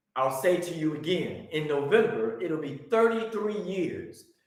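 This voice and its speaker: Audible room echo surrounds a man who speaks fairly slowly in a high voice with ordinary pitch variation. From US Midwest, Chicago. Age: 60s. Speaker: religious teacher. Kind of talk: teaching presentation.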